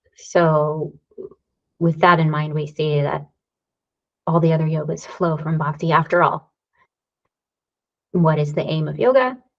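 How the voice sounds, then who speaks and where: A woman speaks at a fairly slow pace with long, frequent pauses. Her voice is very deep and low, somewhat breathy, with fairly even intonation. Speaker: yoga teacher and therapist. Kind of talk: lecture.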